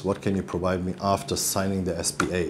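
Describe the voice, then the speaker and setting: A man with a German accent speaks at a fairly quick pace in a very deep, low pitch, with noticeable background noise. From Germany. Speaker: real estate company executive. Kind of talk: interview. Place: office. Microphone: lapel.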